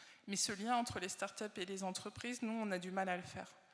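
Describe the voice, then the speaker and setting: A woman talks at a fairly quick pace with a flat, monotone intonation. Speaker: industry association research director. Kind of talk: conference keynote. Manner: hesitant, many fillers.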